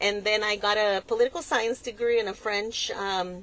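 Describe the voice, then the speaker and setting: A woman with a Mexican accent speaks at a moderate pace in a fairly high pitch, on a very clean recording with a silent background. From West Texas (El Paso). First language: Spanish. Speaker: nonprofit executive director. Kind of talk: interview. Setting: in a car.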